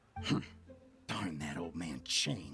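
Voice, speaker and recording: A man's put-on character voice, growling and very deep, low in pitch, over clear music in the background. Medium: video game. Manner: obsequious.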